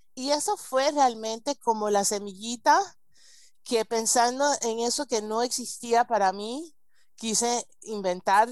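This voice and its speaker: Fairly high-pitched, a woman speaks at a fairly slow pace. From United States. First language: English (speaking Spanish). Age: 40s. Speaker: marriage coach. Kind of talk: interview.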